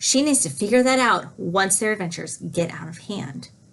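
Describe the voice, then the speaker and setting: Very wide pitch swings run through a somewhat breathy voice. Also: woman. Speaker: student giving book talks. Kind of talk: book talk presentation. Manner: fast.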